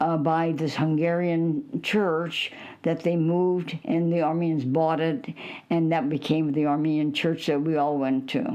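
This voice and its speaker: A woman with an American accent speaks at a fairly slow pace, her fairly low voice dark and mellow in tone. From United States, Illinois. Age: 80s+. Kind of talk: interview answer.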